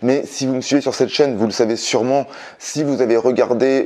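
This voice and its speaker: Against a quiet background, a man is speaking. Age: 40s. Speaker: independent business trainer and consultant; independent business trainer. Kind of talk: vlog monologue to camera. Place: home room.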